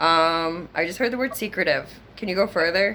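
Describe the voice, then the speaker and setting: A woman speaks at medium pitch in a bright, sharp tone. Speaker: psychic medium doing a reading. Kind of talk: psychic reading session. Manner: casual, filler-heavy; fast.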